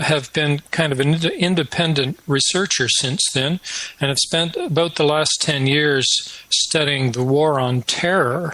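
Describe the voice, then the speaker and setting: A man's fairly high voice at a moderate pace with fairly even intonation, over noticeable background noise. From Canada. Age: 60s. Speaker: retired professor, researcher. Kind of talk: interview.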